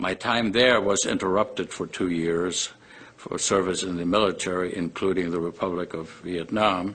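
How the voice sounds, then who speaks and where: A man speaks at a very deep, low pitch. His intonation stays fairly even. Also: moderate pace. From Germany. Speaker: vascular surgeon. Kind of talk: testimony. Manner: formal.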